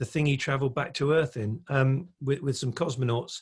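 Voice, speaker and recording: A man's voice sits at a medium pitch and sounds somewhat breathy. Its pitch varies in an ordinary way. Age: 60s. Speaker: electric vehicle industry speaker and consultant. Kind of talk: podcast interview. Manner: hesitant, many fillers and repetitions.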